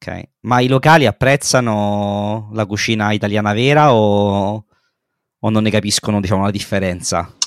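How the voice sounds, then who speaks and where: A man with a plain, everyday voice speaks at a moderate pace, his pitch fairly low and his intonation fairly even, in a dry, close recording that is very clean with a silent background. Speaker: podcast co-host. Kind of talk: casual chat.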